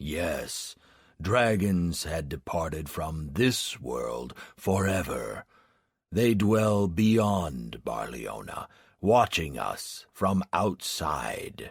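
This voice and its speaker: Delivered very slowly, this put-on character voice makes very wide pitch swings. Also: man, very deep, low pitch for a man. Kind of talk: grandiose solemn pronouncement. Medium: read story.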